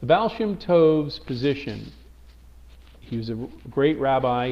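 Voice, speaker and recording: In a room with audible echo, a man with an American accent speaks at a fairly slow pace, his fairly high voice full of lively intonation. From US Northeast, Brooklyn, New York. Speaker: teacher. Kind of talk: lecture. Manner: hesitant, many fillers and restarts.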